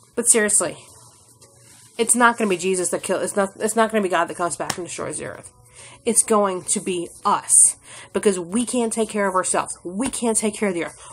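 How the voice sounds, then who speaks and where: Over faint background music, a woman speaks in an animated tone at a fairly quick pace. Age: 30s. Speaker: YouTube vlogger; vlogger. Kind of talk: rant vlog. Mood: angry, exasperated. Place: home room. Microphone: phone near.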